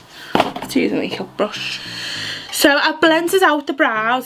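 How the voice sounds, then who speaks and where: Over music in the background, a woman talks at a moderate pace. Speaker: beauty vlogger. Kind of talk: casual makeup tutorial chat. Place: home room. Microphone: phone near.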